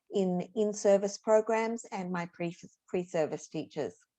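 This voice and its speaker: Over a quiet background, a woman with an Australian accent speaks in a dark, mellow tone at medium pitch with ordinary pitch variation. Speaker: teacher educator. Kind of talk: workshop presentation.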